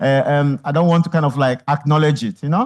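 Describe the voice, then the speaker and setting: A man talks in a normal speaking voice, pitched fairly high. The background is quiet. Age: 50s. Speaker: artist and photographer. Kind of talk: on-stage conversation, audience Q&A.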